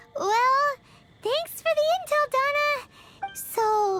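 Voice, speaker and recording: With clear music in the background, a squeaky put-on character voice swoops through very wide pitch swings. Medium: video game. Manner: excitable, blunt.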